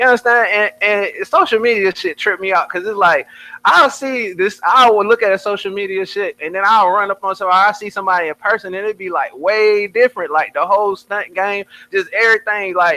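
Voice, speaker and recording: The voice is raised and projected, with a bright, sharp tone and ordinary pitch variation. It moves at a fairly quick pace in a dry, close sound with no echo. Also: man, high pitch for a man. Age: 20s. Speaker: rapper. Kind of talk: casual chat. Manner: animated.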